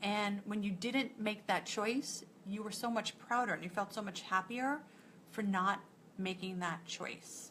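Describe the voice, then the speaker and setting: In an American accent, a woman speaks at a fairly slow pace with a bright, sharp tone, a medium pitch and ordinary pitch variation. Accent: New York accent, comes out at times. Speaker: nutritionist and lifestyle coach. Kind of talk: live coaching talk to online group. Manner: casual, conversational.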